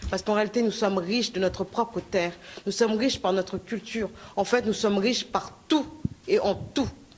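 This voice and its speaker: Ordinary pitch variation at a fairly quick pace, over noticeable background noise. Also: woman, medium pitch for a woman. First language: Lingala or Kikongo heritage, French most comfortable (speaking French). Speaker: activist speaker. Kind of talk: conference speech. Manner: halting, many fillers.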